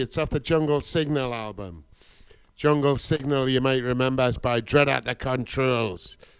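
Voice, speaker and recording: This man talks at a moderate pace in a normal speaking voice with ordinary pitch variation. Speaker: guest reggae/dub vinyl DJ. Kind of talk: radio DJ patter between vinyl tunes. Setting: radio studio. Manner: laid-back, warm, upbeat with Jamaican-style greetings ('bless', 'pure love').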